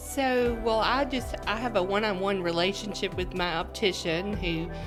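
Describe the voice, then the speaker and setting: With music in the background, a woman speaks at a moderate pace and medium pitch, her pitch varying in an ordinary way and her loudness very even. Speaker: optometrist. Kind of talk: interview answer.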